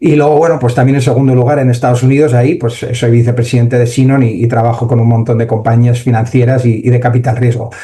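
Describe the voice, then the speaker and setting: A medium-pitched male voice, very fast with hardly any pauses, monotone and flat, very even in loudness, with audible room echo and noticeable background noise. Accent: Spanish. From Spain. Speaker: AI entrepreneur and conference speaker. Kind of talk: conference talk. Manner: hesitant, many fillers.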